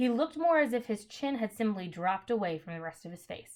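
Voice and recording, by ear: Reading aloud in a natural voice with lively intonation.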